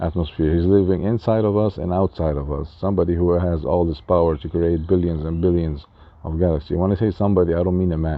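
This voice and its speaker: At a very fast pace, a man talks in a very deep, low pitch with fairly even intonation. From Lebanon. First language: Arabic and French. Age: 40s. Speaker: spiritual life coach. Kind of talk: casual talk to camera. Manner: halting.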